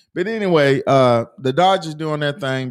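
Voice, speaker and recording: Lively intonation marks a plain, everyday voice that keeps a moderate pace. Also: man. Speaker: sports talk host. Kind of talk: casual sports talk banter. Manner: casual, joking.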